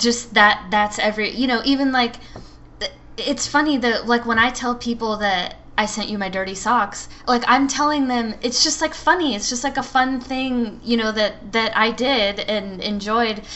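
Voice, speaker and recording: Someone speaks at a moderate pace with an American accent and ordinary pitch variation. Noticeable background noise is present. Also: woman, fairly high pitch for a woman. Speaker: podcast co-host. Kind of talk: casual chat.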